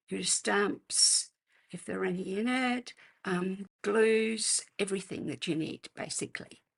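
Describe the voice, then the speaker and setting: This woman speaks with an Australian accent. Her pace is fairly slow. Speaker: card-making demonstrator. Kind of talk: live craft tutorial. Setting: livestream. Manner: casual, hesitant with fillers.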